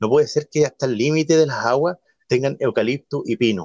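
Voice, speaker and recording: A man's normal speaking voice with lively intonation at a moderate pace, in a dry, close sound with no echo. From Chile, Mulchén. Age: 30s. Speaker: council candidate. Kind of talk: radio interview.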